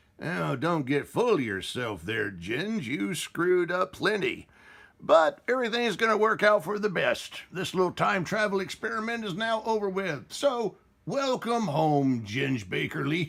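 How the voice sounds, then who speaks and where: Using a cartoonish character voice, a man speaks with high pitch at a moderate pace. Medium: puppet show. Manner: wisecracking.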